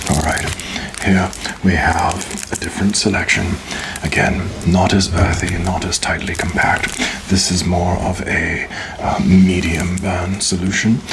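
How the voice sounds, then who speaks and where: A man speaks in a flat monotone at a fairly slow pace, leaving long, frequent pauses. Noticeable background noise runs behind him. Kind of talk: ASMR roleplay, cigar lounge attendant speaking to the listener. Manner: soft, slow, polite, hospitable.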